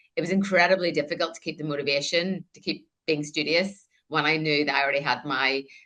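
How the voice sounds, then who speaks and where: Very fast, very deep, low-pitched speech from a woman with a Northern Irish accent, a bright, sharp tone, and fairly even intonation. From Northern Ireland, countryside. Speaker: air force veteran and author. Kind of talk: interview.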